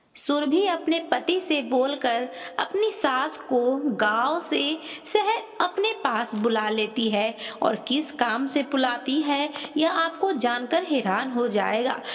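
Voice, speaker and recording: A woman speaks with a high pitch and very wide swings in pitch. Her loudness stays very even, and background noise is noticeable. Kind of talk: storytelling narration.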